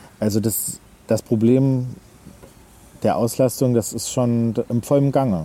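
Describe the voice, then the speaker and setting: Speaking at a very slow pace with long, frequent pauses, a man uses a medium pitch and ordinary pitch variation over noticeable background noise. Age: 30s. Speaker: travel agent. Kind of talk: casual interview. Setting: outdoors.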